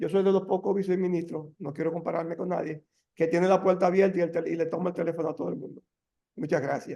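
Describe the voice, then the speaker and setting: His intonation fairly even, a man speaks with a high pitch. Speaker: deputy minister, energy official. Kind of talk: webinar presentation Q&A. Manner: halting.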